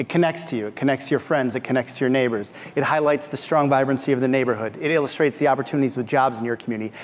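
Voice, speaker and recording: The speech comes very fast with hardly any pauses and fairly even intonation, over noticeable background noise. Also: man, medium pitch for a man. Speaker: deputy county executive. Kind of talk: conference panel talk. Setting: stage with audience.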